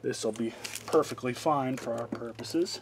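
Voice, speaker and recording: A man's pitch varies in an ordinary way at a moderate pace, with light background noise behind him. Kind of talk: tutorial. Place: garage. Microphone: phone near.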